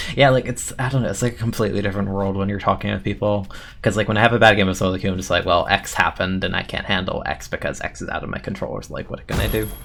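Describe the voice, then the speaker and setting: Speaking quietly and at a very fast pace, a man uses a fairly low pitch. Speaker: game streamer. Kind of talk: casual live-stream chat while gaming. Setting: live stream. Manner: soothing.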